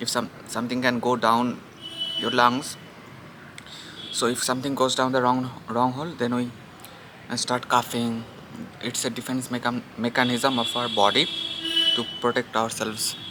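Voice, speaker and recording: With a Bengali accent, a man of medium pitch talks in a flat monotone at a moderate pace with long, frequent pauses, over noticeable background noise. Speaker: vlogger. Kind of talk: casual vlog. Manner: halting.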